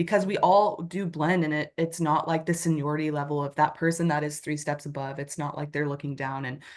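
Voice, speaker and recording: With an American accent, a woman speaks at a fairly quick pace in a monotone, flat intonation and a very deep, low pitch, over a quiet background. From United States. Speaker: nurse. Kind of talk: interview.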